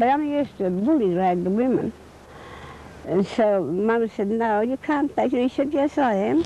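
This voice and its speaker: Over noticeable background noise, a woman's fairly high voice moves through very wide pitch swings. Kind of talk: interview answer, recounting memories.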